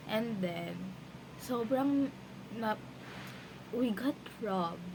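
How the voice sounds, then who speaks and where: A woman's very slow speech with very wide pitch swings, audible room echo and noticeable background noise. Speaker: vlogger. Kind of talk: casual vlog talk.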